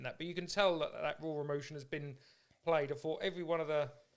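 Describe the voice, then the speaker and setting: Here a man speaks at a very fast pace. His fairly high pitch stays in a monotone, flat intonation. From Norfolk, England. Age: 40s. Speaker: podcast host. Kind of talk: podcast interview.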